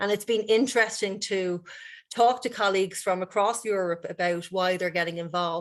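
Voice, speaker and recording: Woman with an Irish accent, medium pitch, fairly even intonation and a moderate pace over a quiet background. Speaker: university director and researcher. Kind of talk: conference presentation.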